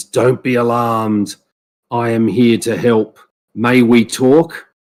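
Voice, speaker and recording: Using a put-on character voice, a man rumbles along at a fairly slow pace, his medium pitch held to fairly even intonation. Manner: calm, reassuring.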